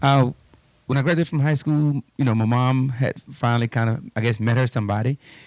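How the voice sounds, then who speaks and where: In an ordinary speaking voice, a man with an American accent talks at a fairly quick pace and medium pitch with fairly even intonation, the sound dry and close with no echo. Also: very even loudness. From Texas (Houston, Fifth Ward). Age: 40s. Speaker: police officer. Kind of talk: interview conversation.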